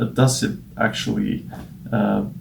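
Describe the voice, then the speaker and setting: A man takes a fairly slow pace. Noticeable noise sits in the background. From Norway. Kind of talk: casual presentation to camera. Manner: hesitant, many filler words.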